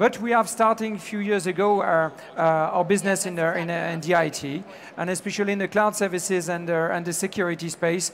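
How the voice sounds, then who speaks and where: A man speaks with a high-pitched voice. He has a strong French accent. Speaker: business executive. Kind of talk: conference talk. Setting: stage with audience. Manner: halting, many fillers.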